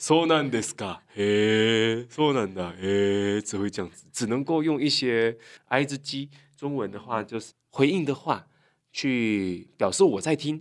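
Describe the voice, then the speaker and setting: At a fairly slow pace, an unremarkable speaking voice carries lively intonation. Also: man, medium pitch for a man. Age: young. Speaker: Japanese language YouTuber and teacher. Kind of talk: casual chat.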